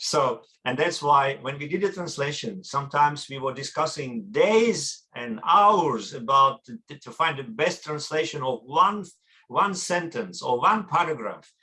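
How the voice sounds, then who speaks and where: In a Russian accent, a man speaks at a fairly slow pace with a fairly high, bright, sharp voice, lively intonation and big swings in loudness. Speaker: academic researcher and translator. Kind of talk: conference talk. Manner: halting.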